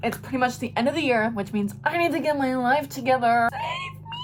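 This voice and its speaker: Over noticeable background noise, a woman speaks at a moderate pace, her fairly high pitch carrying lively intonation. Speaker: YouTuber, lifestyle vlogger. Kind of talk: casual vlog talk to camera. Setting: at home. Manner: mumbling; animated.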